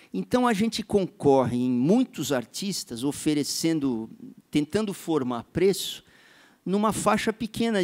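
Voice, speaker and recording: A man's fairly high voice with very wide pitch swings at a fairly slow pace, in a dry, close sound with no echo and a very clean recording over a silent background. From São Paulo, Brazil. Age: 50s. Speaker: musician and composer. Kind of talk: panel discussion.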